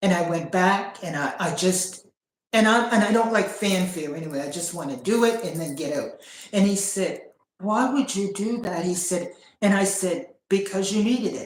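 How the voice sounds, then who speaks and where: A woman with a medium pitch and ordinary pitch variation, somewhat breathy. Room echo can be heard. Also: moderate pace. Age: 50s. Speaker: sharing personal spiritual journey. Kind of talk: casual chat. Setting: livestream. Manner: halting.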